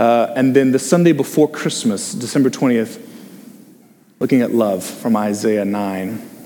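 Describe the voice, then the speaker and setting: An unremarkable speaking voice from a man, medium in pitch with ordinary pitch variation, at a fairly slow pace. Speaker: associate pastor. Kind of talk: sermon with group discussion. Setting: church with online stream. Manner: informal, humorous.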